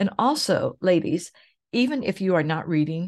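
A woman's unremarkable speaking voice, fairly low-pitched, with lively intonation over a quiet background. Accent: American. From Oklahoma, US. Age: 60s. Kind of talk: solo podcast monologue. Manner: warm, conversational.

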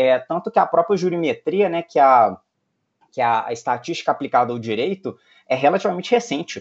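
A man speaks at a fairly brisk clip in a high voice, his pitch swinging very widely. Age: 30s. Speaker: lawyer and tech entrepreneur. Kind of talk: interview. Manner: hesitant, many fillers.

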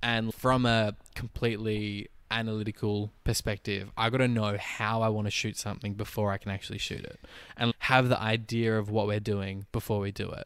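Speaking with an Australian accent, a man uses a fairly low pitch and monotone, flat intonation at a moderate pace. The recording is very clean, with a silent background. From Tasmania, Australia (Launceston). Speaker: actor and photographer. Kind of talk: casual chat.

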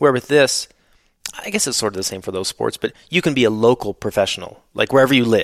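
A man with a Canadian accent at a very fast pace, medium in pitch, with lively intonation and a dry, close sound with no echo. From Canada. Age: 30s. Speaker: former motocross racer and product designer. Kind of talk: casual interview chat.

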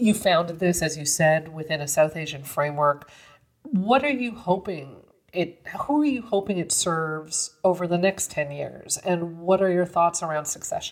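This is an unremarkable speaking voice. It moves at a moderate pace with lively intonation. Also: woman, fairly low pitch for a woman. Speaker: podcast host. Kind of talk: interview conversation.

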